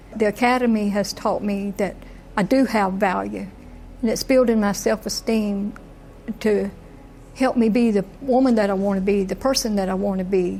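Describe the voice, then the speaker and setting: There is noticeable background noise as a woman speaks at a moderate pace. Her pitch is medium and her intonation fairly even. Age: 70s. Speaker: prisoner. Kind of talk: testimony.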